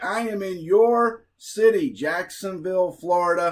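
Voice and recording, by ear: A man's high-pitched voice at a fairly slow pace, with ordinary pitch variation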